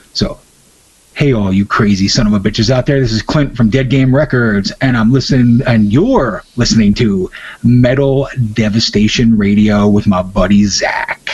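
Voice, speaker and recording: A man in a plain, everyday voice talks at a moderate pace and medium pitch, his loudness very even. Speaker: musician and record label owner. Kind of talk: casual interview chat. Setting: phone call interview for radio. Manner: relaxed, laid-back.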